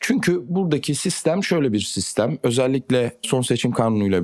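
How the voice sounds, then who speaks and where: A man's plain, everyday voice at a moderate pace, with lively intonation. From Turkey. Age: 20s. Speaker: politician. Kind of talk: interview.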